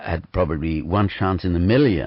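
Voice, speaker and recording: There is a non-native accent in this man's speech. He talks at a fairly quick pace. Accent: foreign. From Vienna, Austria. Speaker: performer. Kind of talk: radio interview. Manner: hesitant, many fillers.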